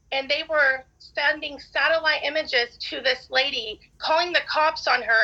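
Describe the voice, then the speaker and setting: Raising and projecting her voice, a woman speaks at a fairly slow pace in a bright, sharp tone with ordinary pitch variation. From Arkansas. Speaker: respondent in court hearing. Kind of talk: court testimony.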